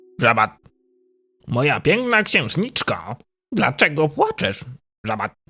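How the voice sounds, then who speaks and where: Putting on a cartoonish character voice, a man speaks at a fairly slow pace and a fairly high pitch, with very wide pitch swings and long, frequent pauses. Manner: soft, polite, affectionate.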